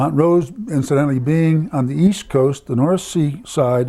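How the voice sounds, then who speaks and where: A man talks at a fairly slow pace and a fairly high pitch. Noticeable background noise runs under his voice. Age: 90s. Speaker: family elder recalling history. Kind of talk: oral history interview. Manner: halting.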